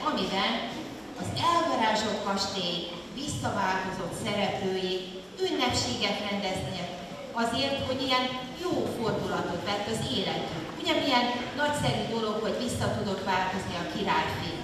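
Speech comes at a moderate pace with long, frequent pauses. Strong room echo and noticeable background noise are present. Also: woman. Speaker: music teacher leading children's concert. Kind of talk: children's concert presentation. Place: hall.

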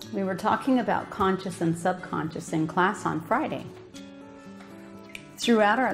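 A woman's fairly low voice with ordinary pitch variation, clear music in the background. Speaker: minister giving a talk. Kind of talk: sermon. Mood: calm, earnest. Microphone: podium.

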